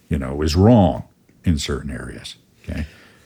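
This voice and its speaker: Very deep and low with vocal fry, a man's voice moves at a fairly slow pace on a very clean recording with a silent background. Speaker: podcast host and Enneagram teacher. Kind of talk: casual explanatory podcast talk.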